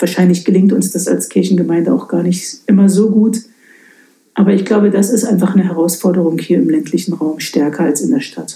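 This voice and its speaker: An unremarkable speaking voice belongs to a woman who talks at a fairly quick pace with medium pitch and ordinary pitch variation. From eastern Germany, Lausitz. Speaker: pastor. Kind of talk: casual interview. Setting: in her study at the parsonage.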